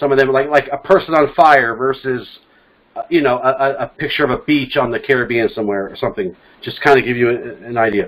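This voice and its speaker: A man with an American accent uses a normal speaking voice at a medium pitch. He talks at a fairly quick pace with ordinary pitch variation. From California. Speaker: podcast host. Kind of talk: casual discussion. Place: home room. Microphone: studio mic.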